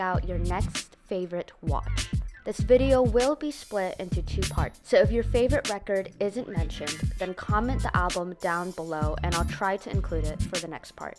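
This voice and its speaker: Music playing behind a woman talking at a moderate pace. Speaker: film video essayist. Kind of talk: video essay narration.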